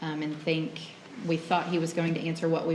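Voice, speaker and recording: A woman speaks at a very deep, low pitch. The audio has audible room echo and noticeable background noise. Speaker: nurse, trial witness. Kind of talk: testimony. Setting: courtroom. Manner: quiet, hard to hear; hesitant, many ums.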